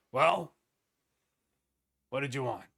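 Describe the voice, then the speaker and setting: Using a put-on character voice, a man talks in a raspy tone at a medium pitch. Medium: actual play. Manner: dismissive, businesslike, unimpressed.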